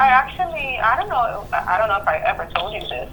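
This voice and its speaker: A woman with a slight Spanish accent speaks with very wide pitch swings over noticeable background noise. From Honduras. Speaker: therapist. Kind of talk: therapy session. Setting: phone call.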